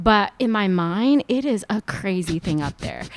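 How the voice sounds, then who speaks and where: In a very clean recording with a silent background and a dry, close sound with no echo, a woman speaks at a moderate pace in a fairly high pitch, her bright, sharp, animated tone marked by very wide pitch swings. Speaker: food entrepreneur and cookbook author. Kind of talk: casual interview chat.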